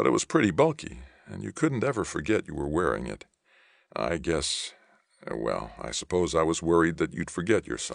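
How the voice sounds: A man puts on a character voice with an extremely low pitch, big pitch swings and vocal fry. He speaks at a moderate pace.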